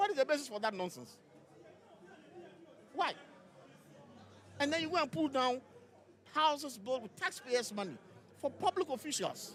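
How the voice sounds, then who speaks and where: With crowd noise in the background, a man speaks in an animated tone at an extremely high pitch, with very wide pitch swings and long, frequent pauses. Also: moderate pace. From Ghana. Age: 60s. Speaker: lawyer and party official. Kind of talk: live interview at party congress.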